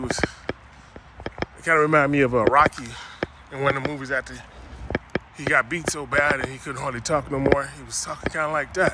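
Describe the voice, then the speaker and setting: Noticeable background noise accompanies a man's voice. His pitch is fairly high and his intonation fairly even. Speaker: former Olympic bobsledder and CTE advocate. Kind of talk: personal video monologue. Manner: halting, repetitive.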